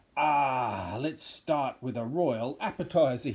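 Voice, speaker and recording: A put-on character voice, cackling at a fairly slow pace. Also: man, medium pitch for a man. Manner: cackling, menacing.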